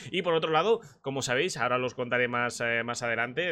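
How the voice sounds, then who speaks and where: Speaking with a Spanish accent, a man keeps a medium pitch and a fairly quick pace. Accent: Peninsular Spanish. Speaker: streamer and sim racing commentator. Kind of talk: casual chat.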